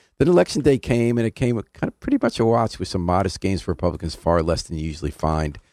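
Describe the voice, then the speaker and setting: Over a very clean recording with a silent background, a man with an American accent speaks at a very fast pace, with a dry, close sound with no echo. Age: 70s. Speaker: community radio host. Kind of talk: casual interview. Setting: radio studio.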